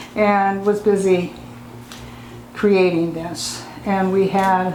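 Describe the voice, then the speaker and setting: A woman's very slow, monotone, flat delivery at a medium pitch, with noticeable background noise. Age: 80s+. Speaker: artist and activist. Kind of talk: oral history interview answer.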